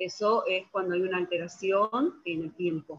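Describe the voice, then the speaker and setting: Medium-pitched woman in a Rioplatense accent, fairly slow and fairly even in intonation. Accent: Argentine Spanish (rioplatense, voseo). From Argentina. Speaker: physiotherapist and lecturer. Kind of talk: presentation with slides. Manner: halting, many fillers.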